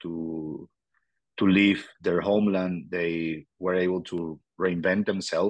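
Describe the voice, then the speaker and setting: A man with a Venezuelan accent speaks in a very deep, low voice. His pace is very slow and his intonation fairly even. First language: Spanish. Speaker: politician in exile, former mayor. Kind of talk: interview, personal storytelling. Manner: halting, searches for words.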